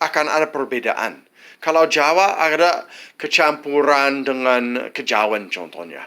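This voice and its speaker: Bright and sharp in tone, a man with an English accent speaks at a fairly high pitch and a fairly slow pace, his intonation lively, on a very clean recording with a silent background. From United States. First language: English (speaking Indonesian). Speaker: vlogger, widower of an Indonesian wife. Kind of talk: advice monologue. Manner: halting, many false starts.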